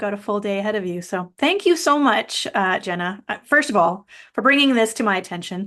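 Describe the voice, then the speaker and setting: A woman with a Canadian accent speaks in a bright, sharp tone with lively intonation. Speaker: podcast host. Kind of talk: podcast interview.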